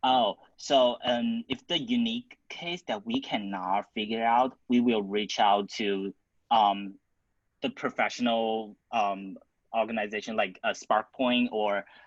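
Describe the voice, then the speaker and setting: The man's medium-pitched voice moves at a fairly slow pace with fairly even intonation. The sound is dry and close with no echo, over a quiet background. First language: not English. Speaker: student club founder presenting. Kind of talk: Q&A at online club council meeting.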